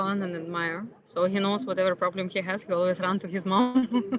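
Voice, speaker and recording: Fairly even intonation from a woman, with noticeable background noise. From Ukraine. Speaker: entrepreneur. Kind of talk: interview.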